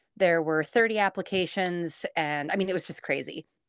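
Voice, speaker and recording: A plain, everyday voice from a woman with an American accent, fairly low in pitch and fairly quick, with ordinary pitch variation, in a dry, close sound with no echo on a very clean recording with a silent background. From Washington State, US Pacific Northwest. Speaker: blogger. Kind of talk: casual interview.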